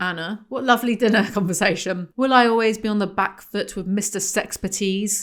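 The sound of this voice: What's heard is an unforced reading voice.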